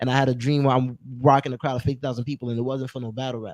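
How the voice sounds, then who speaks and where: A man with a New York accent talks at a very fast pace in a medium pitch and a dark, mellow tone. His intonation is monotone and flat, and the sound is dry and close with no echo. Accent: New York City. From New York City, Brooklyn (Flatbush). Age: 20s. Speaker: rapper. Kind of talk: casual interview.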